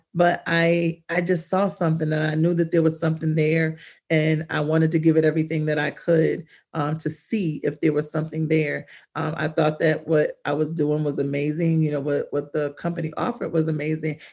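A woman's very deep, low voice, monotone and flat in intonation, at a fairly quick pace against a quiet background. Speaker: podcast guest. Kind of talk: interview answer. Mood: reflective, earnest. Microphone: video call.

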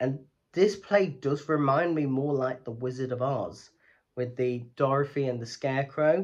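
Ordinary pitch variation and a moderate pace are heard against a quiet background. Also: man. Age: 30s. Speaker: theatre YouTuber. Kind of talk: educational vlog. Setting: home recording, lights off. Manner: rambling, run-on delivery. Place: home room. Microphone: phone near.

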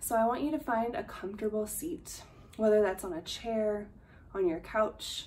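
The speaker is a woman with a fairly high pitch. Her intonation is lively. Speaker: meditation instructor. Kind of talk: guided meditation. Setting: video. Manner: slow, calm, soothing, with long pauses between cues; soft, gentle, measured. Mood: calm, soothing. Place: home room. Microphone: earbuds.

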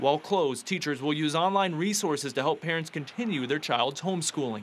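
In a very clean recording with a silent background, a man speaks at a high pitch and a fairly quick pace with ordinary pitch variation. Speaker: TV news reporter. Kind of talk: news reporting, scripted field report voiceover. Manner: formal, brisk, even.

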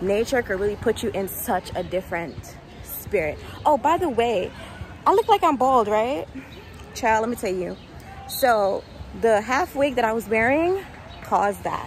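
A woman speaks fairly slowly with lively intonation and long, frequent pauses. Music plays in the background, and the sound is dry with no echo. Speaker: vlogger. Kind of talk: casual vlog chat. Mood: upbeat, reflective. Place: street. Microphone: earbuds.

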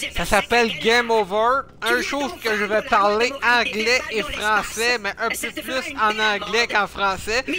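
Over noticeable background noise, a man with a high voice speaks at a fairly slow pace in a raised, projected voice. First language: French. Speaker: gaming streamer. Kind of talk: let's play commentary. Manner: halting.

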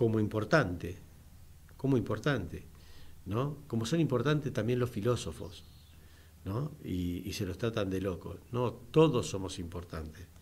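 Somewhat breathy and fairly low in pitch, a man speaks at a very slow pace with lively intonation. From Argentina. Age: 60s. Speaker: radio host and business owner; radio host or guest. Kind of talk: radio talk show. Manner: halting, many fillers. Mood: earnest political opinion. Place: studio. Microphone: studio mic.

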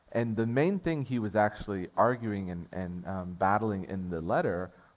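A plain, everyday voice, a man's fairly low pitch moves at a moderate pace with ordinary pitch variation. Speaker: preacher. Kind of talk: sermon. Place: church.

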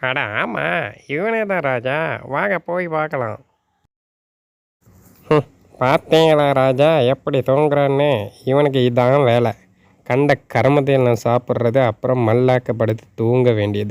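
A cartoonish character voice at a low-to-middle pitch and a fairly slow pace. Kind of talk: cartoon comedy. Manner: comic overacting.

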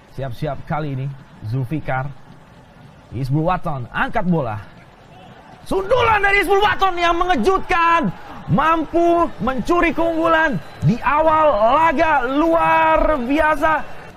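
Very slow pace with long, frequent pauses, against noticeable background noise. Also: man. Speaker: football commentator. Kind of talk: live football commentary. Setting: match broadcast, stadium.

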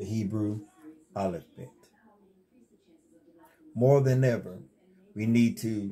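Speaking with a Southern US accent, a man has a dark, mellow, somewhat breathy tone, fairly even intonation, a very slow pace and long, frequent pauses. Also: medium pitch for a man. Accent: Southern US country. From North Carolina, USA. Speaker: religious teacher. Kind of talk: casual instructional talk to camera. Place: home room. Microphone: lapel.

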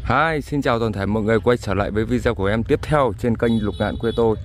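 A man speaks at a moderate pace in a fairly low voice, the sound dry with no echo and light noise in the background. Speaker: farmer vlogger. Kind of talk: casual vlog walking tour. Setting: outdoors in fields. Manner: conversational, somewhat halting with fillers. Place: farm machine. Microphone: phone near.

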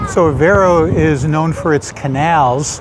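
A man talks with ordinary pitch variation, the sound dry with no echo but with noticeable background noise. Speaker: food travel vlogger. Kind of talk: casual vlog chat. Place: waterside.

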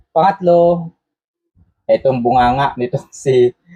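Recorded dry and close with no echo, a man speaks fairly slowly in a somewhat breathy voice with a dark, mellow tone. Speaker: political commentator. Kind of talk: live stream commentary.

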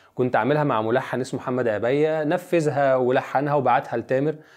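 Over a quiet background, a man with a normal speaking voice talks at a medium pitch and moderate pace with fairly even intonation. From Egypt, Giza (Abu El Numrus village near Haram); Egypt. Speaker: song lyricist; guest. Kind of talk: interview. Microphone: lapel.

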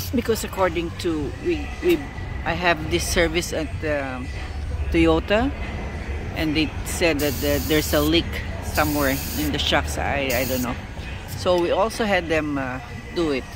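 Speech at a moderate pace is broken by long, frequent pauses. The sound is dry with no echo, and clear music plays in the background. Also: man. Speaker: van owner vlogger. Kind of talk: casual vlog chat. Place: street. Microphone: phone near.

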